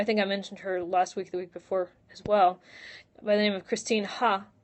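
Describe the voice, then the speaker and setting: A woman speaks at a moderate pace. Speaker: blind vlogger answering viewer questions. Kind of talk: live Q&A stream. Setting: live stream from a room at home. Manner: hesitant, many fillers.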